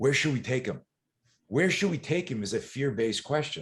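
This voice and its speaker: A man speaks in an animated tone with lively intonation and vocal fry. The background stays quiet. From eastern Canada. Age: 60s. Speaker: self-defense and fear management coach. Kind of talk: podcast interview.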